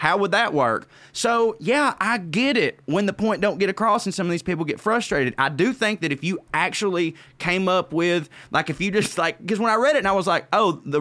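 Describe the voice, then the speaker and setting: A man with a Southern US accent speaks in a raised, projected voice at a high pitch and a fairly quick pace. His tone is bright and sharp, with lively intonation. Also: very clean recording, silent background. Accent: Southern US, noticeable. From Georgia, US South. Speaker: comedian. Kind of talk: casual chat.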